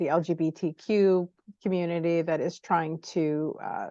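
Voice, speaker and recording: A woman speaks with a fairly low pitch and a dark, mellow tone. Her intonation is fairly even, and the background is quiet. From United States. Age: 60s. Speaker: interviewer and publisher. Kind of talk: interview.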